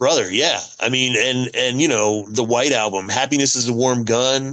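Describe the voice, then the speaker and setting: With an animated tone and very even loudness, a man speaks at a moderate pace and medium pitch. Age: 50s. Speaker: podcast host. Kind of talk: casual chat.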